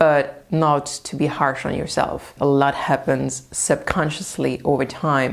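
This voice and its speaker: A woman speaks with a French accent. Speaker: language-learning youtuber. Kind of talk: tutorial.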